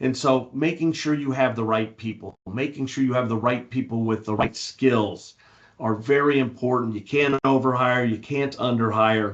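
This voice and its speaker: A man with a medium pitch and a normal speaking voice talks at a moderate pace, his intonation fairly even. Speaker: industry analyst. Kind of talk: webinar presentation.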